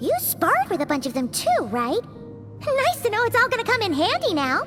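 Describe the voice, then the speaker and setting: A put-on character voice, female-sounding and extremely high-pitched, speaks over loud music in the background. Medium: fan dub. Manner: chirpy, talks about herself in the third person.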